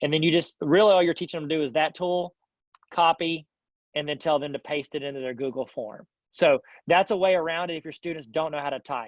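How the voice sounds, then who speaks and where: A man talks at a very fast pace with a fairly high pitch and ordinary pitch variation, the sound dry and close with no echo over a quiet background. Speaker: educational technology trainer. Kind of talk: online teacher workshop. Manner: slurs his words a bit; animated.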